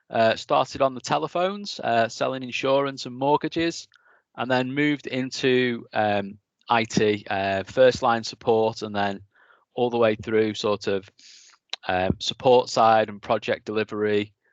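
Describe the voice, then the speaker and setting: A man with a Lancashire accent speaks at a medium pitch and a fairly slow pace. His pitch varies in an ordinary way, and the sound is dry and close with no echo. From northern England, East Lancashire. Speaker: technical engineering manager giving a talk. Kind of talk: presentation talk.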